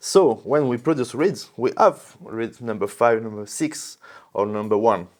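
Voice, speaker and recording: A man speaks with a French accent at a medium pitch. His pace is fairly slow. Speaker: reed manufacturer representative. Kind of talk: product explanation. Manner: halting, many repetitions and fillers.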